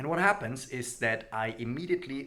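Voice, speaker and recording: His tone bright and sharp, a man speaks with very wide pitch swings. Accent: German. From Germany. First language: German. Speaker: language learning youtuber. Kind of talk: casual vlog talk to camera.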